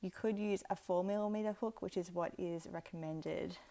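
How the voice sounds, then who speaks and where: A woman speaks with an Australian accent and a fairly low pitch. Her pace is moderate, with ordinary pitch variation. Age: 30s. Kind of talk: craft tutorial talk to camera. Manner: relaxed, casual.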